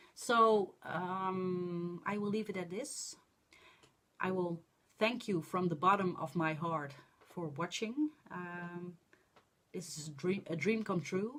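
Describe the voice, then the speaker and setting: With a Dutch accent, a woman talks at a fairly slow pace, her fairly low pitch showing ordinary variation. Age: 40s. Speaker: crafting vlogger. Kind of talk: casual vlog monologue. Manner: halting, many fillers.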